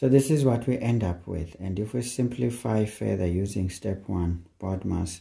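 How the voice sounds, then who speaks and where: The voice is somewhat breathy and dark and mellow in tone, with lively intonation and a fairly slow pace. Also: man. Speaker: maths teacher. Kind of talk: tutorial.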